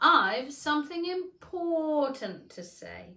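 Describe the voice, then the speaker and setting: Using a put-on character voice, a woman speaks very slowly, raised and projected, her high pitch making very wide swings. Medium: read story. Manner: curt, short remarks.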